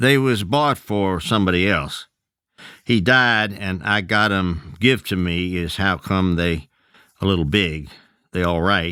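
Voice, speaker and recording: A man puts on a character voice in a Southern Appalachian accent, very deep and low in pitch. He speaks at a fairly slow pace, shaky, with ordinary pitch variation. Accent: rural Southern Appalachian dialect. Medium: read story. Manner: hesitant, nervous.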